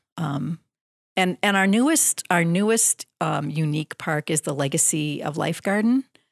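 With an Upper Midwest accent, a woman talks at a moderate pace in a fairly low voice with lively intonation, recorded very cleanly against a silent background with a dry, close sound and no echo. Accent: Upper Midwest American. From southeastern Wisconsin. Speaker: tourism bureau staff. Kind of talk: radio interview. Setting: radio studio.

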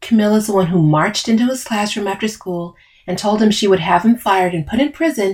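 The reader uses an unforced reading voice, and the pitch shifts by ordinary amounts.

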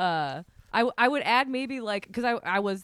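Lively in intonation, a woman with an American accent and an unremarkable speaking voice talks at a moderate pace in a very clean recording, dry and close with no echo and a silent background. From Vermont, US. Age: 30s. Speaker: podcaster and video creator. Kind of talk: casual chat.

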